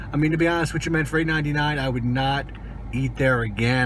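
A man's voice, dry with no echo, over light background noise. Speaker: food reviewer. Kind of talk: casual vlog chat. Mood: disappointed, mildly critical. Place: car. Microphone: phone near.

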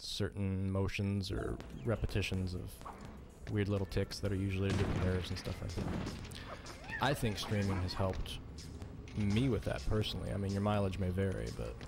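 A man mumbles at a fairly quick pace with a fairly low pitch. Clear music plays in the background. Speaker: video game streamer. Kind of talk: gameplay commentary. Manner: mumbling, trails off. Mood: relaxed, self-reflective.

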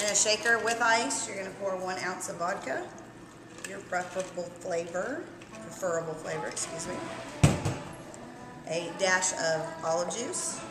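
A woman at a moderate pace with ordinary pitch variation and long, frequent pauses, over loud music in the background. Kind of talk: tutorial. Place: bar. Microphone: camera far.

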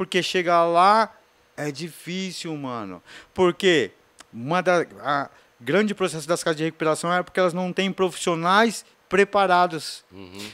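A man speaks at a fairly slow pace in a high voice against a quiet background. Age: 40s. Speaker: skateboarder and author; podcast guest. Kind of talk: interview testimony. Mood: relaxed, reflective. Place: studio. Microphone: studio mic.

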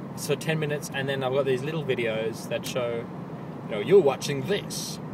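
At a moderate pace, a man talks over loud background noise, the sound itself dry with no echo. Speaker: vlogger. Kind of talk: casual vlog chat. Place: car. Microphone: phone near.

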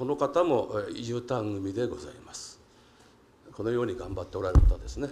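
A man speaks at a moderate pace, his loudness swinging widely, over noticeable background noise. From Japan. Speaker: city council member. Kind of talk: council general question. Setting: council chamber. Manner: halting with many fillers; formal. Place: hall. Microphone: podium.

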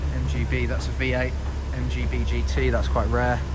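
There is loud background noise. A man talks over it at a moderate pace. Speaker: car vlogger. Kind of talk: casual walkthrough commentary. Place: garage. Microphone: phone near.

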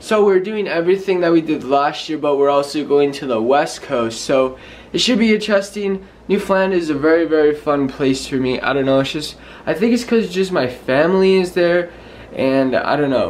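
A man talks with lively intonation at a moderate pace. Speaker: vlogger. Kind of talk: casual vlog chat. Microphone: phone near.

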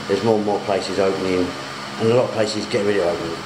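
A man rushes along at a very fast pace through loud background noise. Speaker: vlogger abroad. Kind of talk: casual vlog chat.

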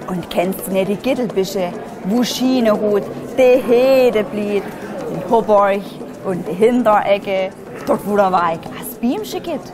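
With an Upper Lusatian accent, a woman speaks very slowly at medium pitch with ordinary pitch variation. Music plays in the background.

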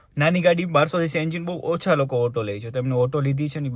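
This man's voice is fairly high-pitched and somewhat breathy, with an animated tone. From rural Gujarat (Saurashtra). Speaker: family vlogger. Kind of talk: casual vlog chat.

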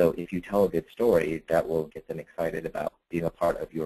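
The sound is dry and close with no echo as a man talks at a fairly quick pace. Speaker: webinar presenter; former reporter.

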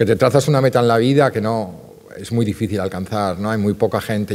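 The speaker moves along at a fairly rapid clip. Their pitch changes to a normal extent. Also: man. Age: 50s. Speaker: art curator and art fair director; art curator lecturer. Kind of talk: lecture. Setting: stage with audience. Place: stage. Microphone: podium.

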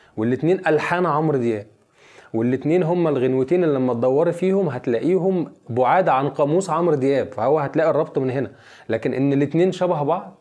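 A man's fairly high-pitched voice with a dark, mellow tone, ordinary pitch variation and a fairly quick pace, against a quiet background. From Egypt, Giza (Abu El Numrus village near Haram); Egypt. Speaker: song lyricist; guest. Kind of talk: interview. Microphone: lapel.

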